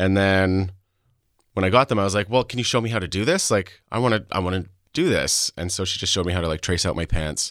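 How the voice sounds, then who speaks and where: With a Canadian accent, a man speaks at a very deep, low pitch and ordinary pitch variation. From Canadian prairies (Saskatchewan). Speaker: fashion designer. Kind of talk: interview.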